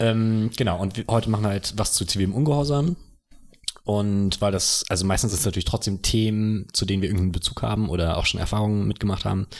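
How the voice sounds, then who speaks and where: Someone speaks at a very fast pace with very even loudness and ordinary pitch variation, in a very clean recording with a silent background. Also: man, fairly low pitch for a man. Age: 20s. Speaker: podcast co-host and university student. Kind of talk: casual chat.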